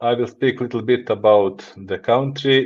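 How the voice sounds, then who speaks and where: In a Montenegrin accent, a man with a medium-pitched voice speaks at a very slow pace with fairly even intonation. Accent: Montenegrin (Balkan) accent in English. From Montenegro. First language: Montenegrin / Serbo-Croatian. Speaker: business executive. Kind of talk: podcast interview. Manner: halting, non-fluent English.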